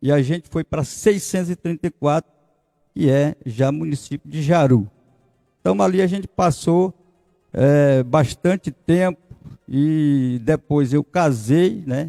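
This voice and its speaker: Music plays in the background as the speech comes very slowly, with a dry, close sound and no echo. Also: man. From southern Bahia, Brazil. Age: 60s. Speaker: pastor and former vice mayor. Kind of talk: interview. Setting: studio.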